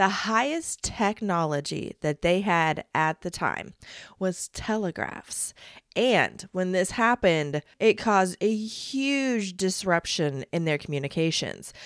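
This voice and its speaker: In a dry, close sound with no echo, a woman speaks at a very slow pace with lively intonation at a medium pitch. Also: very clean recording, silent background. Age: 40s. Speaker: podcast host. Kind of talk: solo podcast monologue.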